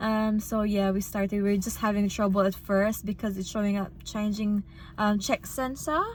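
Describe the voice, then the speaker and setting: At a moderate pace, a woman's somewhat breathy voice carries fairly even intonation. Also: medium pitch for a woman. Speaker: registered nurse vlogger. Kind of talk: casual vlog.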